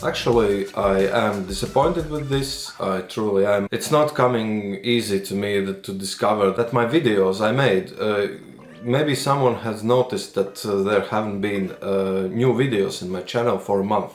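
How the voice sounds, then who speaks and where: Hardly pausing, a man talks with a Latvian accent amid audible room echo. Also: fairly low pitch for a man, ordinary pitch variation, moderate pace. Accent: Latvian accent, noticeable. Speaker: retro gaming YouTuber. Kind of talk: vlog monologue. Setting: close to camera, home recording. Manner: halting, searching for words.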